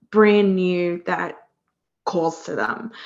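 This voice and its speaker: At a very slow pace, a woman talks in an Australian accent. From Australia, near Sydney. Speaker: career coach. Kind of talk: podcast interview. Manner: many filler words, hesitant.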